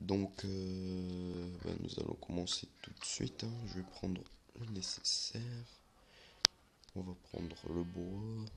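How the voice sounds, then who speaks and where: With very deep, low pitch and monotone, flat intonation, a man speaks at a very slow pace broken by long, frequent pauses. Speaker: gaming youtuber. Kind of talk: gameplay commentary. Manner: soft-spoken; halting, many fillers.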